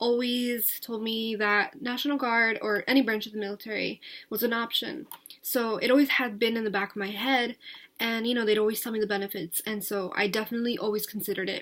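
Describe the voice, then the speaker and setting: At a moderate pace, a woman with an American accent talks in a flat monotone at a fairly high pitch. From US Northeast, New Jersey. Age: 20s. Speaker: vlogger. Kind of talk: casual vlog monologue. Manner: hesitant, many filler words; talkative.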